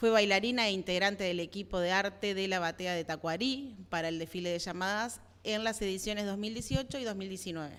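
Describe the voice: Fairly quick and with few pauses, a woman talks at a medium pitch in a fairly bright tone. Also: ordinary pitch variation.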